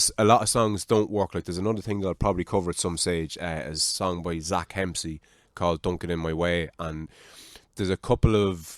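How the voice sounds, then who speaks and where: A man with an Irish accent speaks at a fairly quick pace in a very deep, low voice, recorded very cleanly with a silent background and a dry, close sound free of echo. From Ireland. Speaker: podcast host. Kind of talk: casual chat. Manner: animated.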